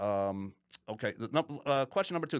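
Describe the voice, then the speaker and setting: A man talks at a fairly quick pace with very wide pitch swings, vocal fry and a bright, sharp tone. The recording is very clean, with a silent background and a dry, close sound with no echo. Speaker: podcast co-host. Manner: fast; halting, many fillers and repeats.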